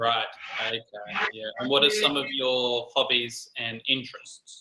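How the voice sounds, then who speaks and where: A man speaks at a fairly slow pace with an Australian accent. His pitch is medium, with ordinary variation. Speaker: English conversation tutor. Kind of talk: casual conversation practice. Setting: online call.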